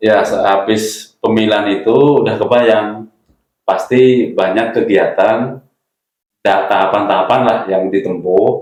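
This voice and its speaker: A man with a Javanese accent speaks at a very slow pace and fairly low pitch, keeping very even loudness and fairly even intonation. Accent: non-Sundanese, Javanese-sounding. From Central Java (Karanganyar). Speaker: village cooperative chairman. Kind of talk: interview.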